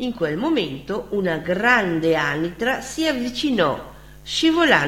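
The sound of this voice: The speaker reads. It is an unforced reading voice.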